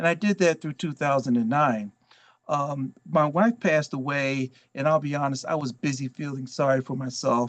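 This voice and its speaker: Here a man speaks in a plain, everyday voice at a fairly high pitch, with ordinary pitch variation and a moderate pace. The sound is dry and close with no echo, over a quiet background. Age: 60s. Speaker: volunteer and former congressional chief of staff. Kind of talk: motivational talk.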